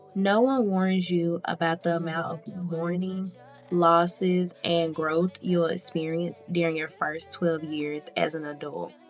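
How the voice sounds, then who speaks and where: Music plays in the background while the speaker goes at a fairly slow pace. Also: woman, fairly low pitch for a woman. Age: 20s. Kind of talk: personal diary voiceover. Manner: reflective, candid.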